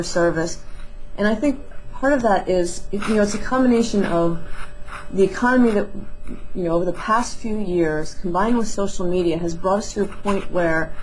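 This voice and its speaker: A woman talks at a fairly quick pace with ordinary pitch variation. Light background noise is present. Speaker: interview guest. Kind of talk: interview answer. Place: office. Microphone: headset.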